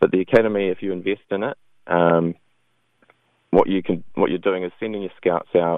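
With a New Zealand accent and a very deep, low pitch, a man talks at a fairly quick pace with fairly even intonation, broken by long, frequent pauses. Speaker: video game developer. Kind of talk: radio interview.

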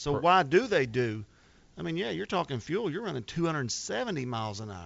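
A man with an American accent and vocal fry, very wide pitch swings, big swings in loudness, and a moderate pace. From Arkansas, US South. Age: 40s. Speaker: drag boat racer. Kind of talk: casual chat. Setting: studio.

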